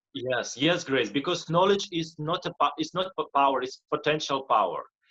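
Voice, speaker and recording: With a Russian accent, a man speaks at a moderate pace in a high pitch, his tone bright and sharp with ordinary pitch variation. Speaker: motivational speaker and life coach. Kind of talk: interview. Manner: halting, frequent repetitions.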